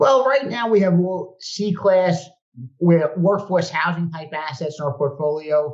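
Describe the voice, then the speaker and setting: At a fairly slow pace, a man with a Brooklyn accent talks at a high pitch with ordinary pitch variation. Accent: New York (Brooklyn). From New York (Brooklyn). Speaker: real estate investor. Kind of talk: podcast interview.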